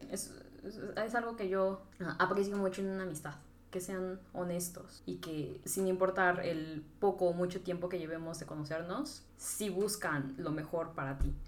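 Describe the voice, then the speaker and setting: With a central Mexican accent, a woman speaks at a fairly slow pace and medium pitch, using ordinary pitch variation, in audible room echo. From Mexico, Tlaxcala. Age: 20s. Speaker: podcast guest, marketing graduate. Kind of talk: casual chat.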